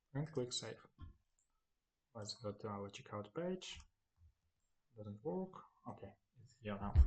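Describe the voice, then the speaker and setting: A man at a fairly slow pace, with long, frequent pauses, big swings in loudness and very wide pitch swings. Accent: Ukrainian. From Ukraine. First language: Ukrainian. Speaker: web developer, tutorial maker. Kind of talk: screen-recorded tutorial. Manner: halting, with fillers.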